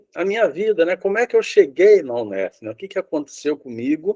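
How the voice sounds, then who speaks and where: Very wide pitch swings run through this man's dark, mellow tone. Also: dry, close sound with no echo. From Brazil, São Paulo state (Rio Claro). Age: 70s. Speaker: retired professor. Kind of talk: oral history interview. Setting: video call. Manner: halting.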